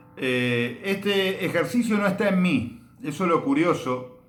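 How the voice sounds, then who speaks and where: There is audible room echo as a man talks with lively intonation. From Argentina. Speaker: bass teacher. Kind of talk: tutorial. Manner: hesitant, many filler sounds.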